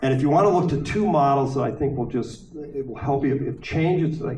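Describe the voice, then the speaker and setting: A man talks at a fairly quick pace with vocal fry and ordinary pitch variation. Audible room echo surrounds his voice. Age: 60s. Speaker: panel speaker. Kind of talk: panel discussion.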